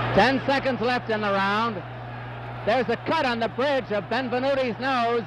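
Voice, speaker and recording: A man speaks at an extremely high pitch and a moderate pace, with fairly even intonation. The sound is dry with no echo, and there is noticeable background noise. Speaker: boxing commentator. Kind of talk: live ring commentary, fight broadcast. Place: stadium.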